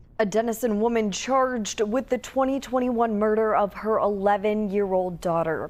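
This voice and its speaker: An ordinary speaking voice from a woman, fairly high in pitch, with ordinary pitch variation and a moderate pace. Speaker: TV news anchor and reporter. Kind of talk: TV news anchor read.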